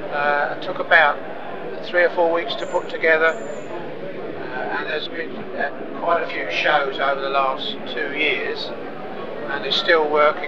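A man speaks at a fairly slow pace. Loud noise fills the background. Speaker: model builder and exhibitor. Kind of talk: interview answer. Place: hall. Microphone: lapel.

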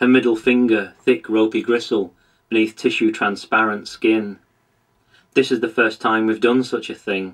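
Against a quiet background, a man with a medium pitch and a gentle tone speaks at a moderate pace in a monotone, flat intonation. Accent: British. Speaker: poet. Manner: gentle, measured and reflective, lingering on tactile imagery; earnest and self-deprecating when talking about his contribution.

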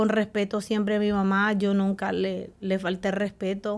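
A woman talks in a Salvadoran accent. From El Salvador. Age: 40s. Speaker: guest sharing her life story; guest. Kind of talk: testimony. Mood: earnest, emotional personal testimony. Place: studio. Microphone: studio mic.

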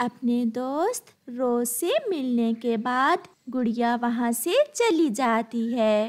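A woman's fairly high-pitched voice with a slightly mellow tone, lively intonation and a slow pace

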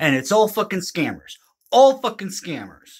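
Against a quiet background, a man talks at a moderate pace in an animated tone. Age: 30s. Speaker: video creator. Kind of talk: rant. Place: home room. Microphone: phone near.

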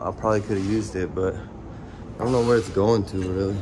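Amid noticeable background noise, a man speaks at a fairly quick pace with a fairly low pitch and ordinary pitch variation. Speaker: urban explorer vlogger. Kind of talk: casual vlog chat. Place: street. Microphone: phone near.

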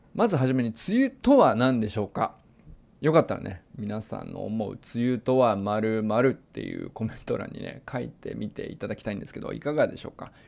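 The recording is very clean, with a silent background. A man speaks with big swings in loudness. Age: 40s. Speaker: meteorologist. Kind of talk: lecture. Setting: lecture event.

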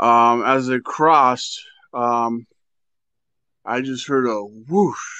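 Against a quiet background, a man talks at a very slow pace with fairly even intonation in a dry sound with no echo. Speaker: caller sharing paranormal experiences. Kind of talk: personal storytelling. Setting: phone call. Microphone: phone line.

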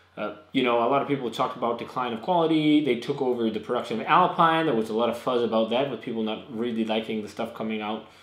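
Very fast male speech with audible room echo. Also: ordinary pitch variation. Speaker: beer reviewer. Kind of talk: casual vlog chat. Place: home room. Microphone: camera far.

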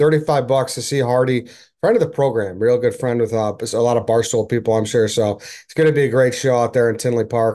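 A man's dark, mellow tone with ordinary pitch variation, over a quiet background. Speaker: podcast host. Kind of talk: ad read. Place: home room. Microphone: webcam.

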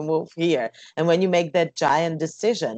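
A woman with a Slovak accent speaks at a fairly low pitch. The sound is dry with no echo, over a quiet background. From Slovakia. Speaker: jazz singer; interview guest. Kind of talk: interview; interview answer. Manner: halting. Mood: calm, reflective. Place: home room. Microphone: earbuds.

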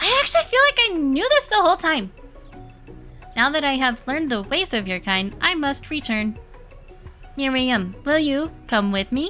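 A woman performs a put-on character voice at a moderate pace, with long, frequent pauses. Clear music plays in the background. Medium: game stream.

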